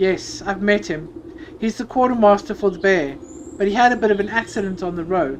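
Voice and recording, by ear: Reading aloud in a natural voice, the speaker shows ordinary pitch variation.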